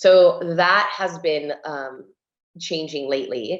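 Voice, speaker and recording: An ordinary speaking voice from a woman with an American accent, fairly low in pitch, with fairly even intonation. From US, Cuban family. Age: 40s. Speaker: interior designer and TV host. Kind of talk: casual chat.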